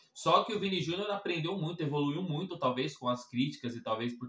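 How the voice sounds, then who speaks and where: A man with a Brazilian accent speaks at a fairly quick pace and fairly high pitch, with very wide pitch swings. Background noise is noticeable. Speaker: football reaction youtuber. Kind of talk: casual reaction commentary. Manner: casual, conversational.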